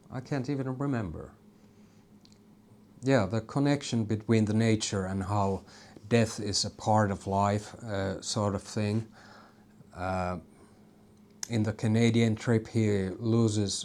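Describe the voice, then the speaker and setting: A man with a Finnish accent talks at a fairly slow pace, with long, frequent pauses. His pitch is fairly low and his intonation fairly even. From Finland. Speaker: YouTuber. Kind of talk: casual vlog monologue. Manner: halting, many fillers.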